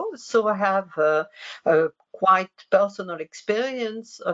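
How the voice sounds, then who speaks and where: Using ordinary pitch variation, a woman with a French accent speaks at a very slow pace. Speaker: researcher. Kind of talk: lecture. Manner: halting.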